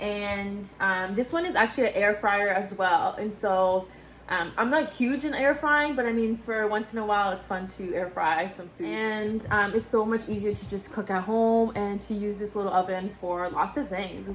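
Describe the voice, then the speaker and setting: A woman talks at a moderate pace and medium pitch with ordinary pitch variation and hardly any pauses. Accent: slight French. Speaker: YouTuber / video creator. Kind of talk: informal. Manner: casual, chatty, frequent fillers.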